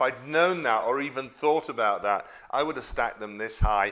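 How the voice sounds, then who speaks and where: A man talks at a moderate pace with ordinary pitch variation. His tone is bright and sharp. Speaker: former royal chef and YouTube cook. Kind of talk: casual Q&A to camera. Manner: conversational with many fillers.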